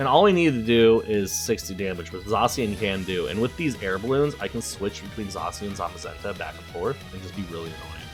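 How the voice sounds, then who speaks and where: Over music in the background, a man with a fairly low pitch talks at a moderate pace using lively intonation. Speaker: Pokemon card game content creator. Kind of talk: live gameplay commentary.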